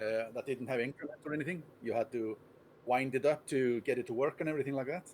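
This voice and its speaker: A man with an Icelandic accent talks at a very fast pace in a medium pitch. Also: ordinary pitch variation. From Iceland, Reykjavik. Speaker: chess player and streamer. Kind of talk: interview.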